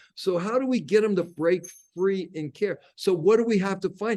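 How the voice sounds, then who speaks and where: Moderately paced speech from a man with a high voice and ordinary pitch variation. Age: 60s. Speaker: coach working with addicts. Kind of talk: podcast interview.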